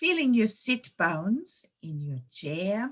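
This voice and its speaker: A woman with a slight German accent speaks in a calm tone, somewhat breathy and fairly high-pitched, with very wide pitch swings. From Germany, Munich. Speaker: intuition trainer and yoga teacher. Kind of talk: webinar presentation; guided meditation. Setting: online webinar. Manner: slow, calm.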